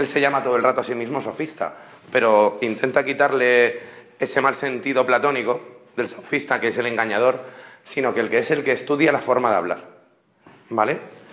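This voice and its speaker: Noticeable background noise surrounds a man whose voice sits at a medium pitch. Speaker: university student. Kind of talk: class presentation. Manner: fast; halting.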